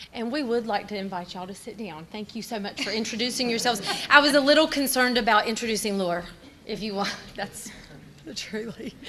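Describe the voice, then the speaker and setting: A woman with a Southern US accent, very fast and fairly high-pitched, over noticeable background noise. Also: ordinary pitch variation, big swings in loudness. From North Carolina, Caldwell County. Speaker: teacher. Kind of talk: presentation. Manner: loud.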